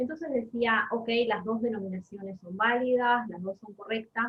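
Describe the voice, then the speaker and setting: In a Uruguayan accent, a woman speaks at a fairly high pitch with ordinary pitch variation. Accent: Uruguayan Rioplatense Spanish. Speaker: Spanish and literature teacher. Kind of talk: casual conversation.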